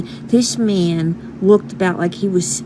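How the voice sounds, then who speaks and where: Lively intonation comes with a New York accent at a very slow pace. Background noise is noticeable. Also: woman. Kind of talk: casual talk to camera.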